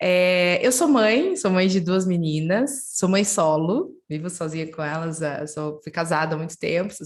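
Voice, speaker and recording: With a southern Brazilian accent, a woman talks at fairly low pitch and a moderate pace, using ordinary pitch variation. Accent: southern Brazilian, gaúcho-like. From southern Brazil, Curitiba. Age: 30s. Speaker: head of innovation at a football club. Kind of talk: webinar interview.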